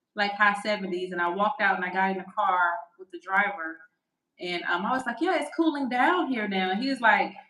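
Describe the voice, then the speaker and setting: A woman at a fairly quick pace, with lively intonation and big swings in loudness. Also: medium pitch for a woman. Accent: Southern US. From US South, Alabama. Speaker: podcast co-host, real estate agent. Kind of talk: casual chat.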